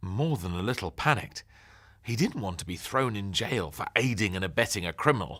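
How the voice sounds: A natural reading voice with lively intonation carries the lines.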